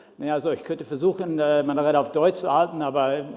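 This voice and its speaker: A man with an American accent talks at a fairly quick pace, his fairly high pitch showing ordinary variation. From US Midwest, Minnesota. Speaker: education technology policy specialist. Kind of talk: conference talk.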